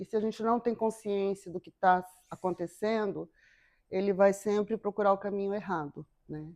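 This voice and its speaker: A plain, everyday voice: a woman at a medium pitch and moderate pace, with fairly even intonation and big swings in loudness. The sound is dry and close with no echo. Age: 50s. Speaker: psychotherapist. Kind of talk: interview.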